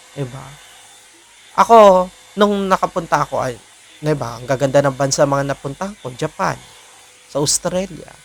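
At a moderate pace, a man speaks in a fairly high pitch with ordinary pitch variation. His loudness swings widely, and he takes long, frequent pauses. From Philippines. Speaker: vlogger. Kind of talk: personal vlog monologue. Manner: hesitant, many fillers.

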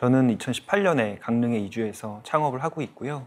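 On a very clean recording with a silent background, a man talks at a moderate pace in a medium pitch with ordinary pitch variation and a normal speaking voice. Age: 30s. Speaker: startup founder. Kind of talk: panel discussion. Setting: studio.

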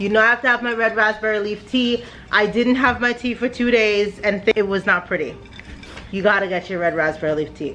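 Over light background noise, a woman speaks fairly quickly with ordinary pitch variation. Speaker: family vlogger. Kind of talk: casual vlog chat. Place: home room. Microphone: phone near.

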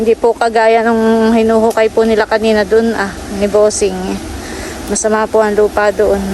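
Someone speaks at a moderate pace with monotone, flat intonation over noticeable background noise. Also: woman, fairly high pitch for a woman, very even loudness. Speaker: vlogger. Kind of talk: vlog narration. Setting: outdoors.

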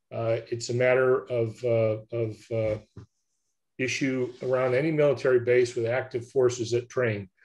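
A man at a fairly slow pace, somewhat breathy, in a monotone, flat intonation. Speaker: defense policy official. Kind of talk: prepared remarks. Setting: video call. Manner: formal. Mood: measured, diplomatic. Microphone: video call.

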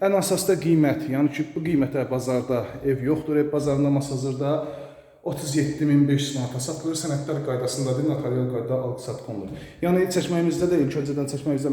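A man at a moderate pace, fairly high in pitch with fairly even intonation, against noticeable background noise and audible room echo. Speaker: real estate agent. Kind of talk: sales pitch.

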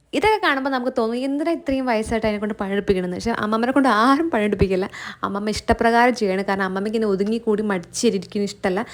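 This woman has a normal speaking voice with a fairly high pitch. Her pitch variation is ordinary. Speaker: vlogger. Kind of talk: casual vlog narration.

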